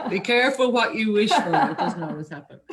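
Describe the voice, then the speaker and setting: A woman is speaking. She talks with an Irish accent. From Ireland. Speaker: marketing coach. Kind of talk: interview.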